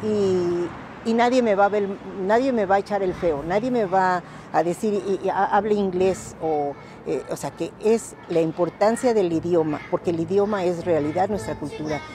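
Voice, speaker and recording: Noticeable background noise sits behind a woman speaking at a fairly slow pace. Her voice is medium in pitch, with ordinary variation. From Mexico City. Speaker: museum staff. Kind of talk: interview.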